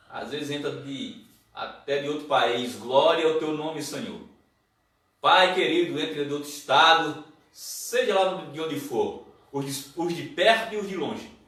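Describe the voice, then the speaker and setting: Audible room echo surrounds a man who speaks at a fairly slow pace and a fairly high pitch. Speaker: pastor. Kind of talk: sermon. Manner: loud.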